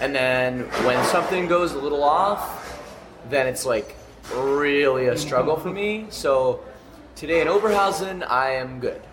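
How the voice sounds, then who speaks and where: Music plays in the background and audible room echo is present as a man with a Canadian accent speaks at a fairly slow pace in a fairly high pitch. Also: ordinary pitch variation. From Canada. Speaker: rock band singer and podcast host. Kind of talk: casual interview. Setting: festival catering area, backstage.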